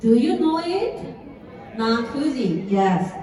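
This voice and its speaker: Audible room echo and noticeable background noise surround a woman with a Japanese accent and lively intonation. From Japan, Shizuoka. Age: 30s. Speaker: network marketing distributor. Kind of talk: motivational speech. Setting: stage with audience. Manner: careful, halting.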